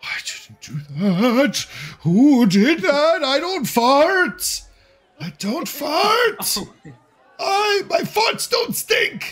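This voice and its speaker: A man puts on a character voice at an extremely high pitch with very wide pitch swings. He speaks at a very slow pace with long, frequent pauses. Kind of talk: comic overacting. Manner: outraged, indignant, flustered.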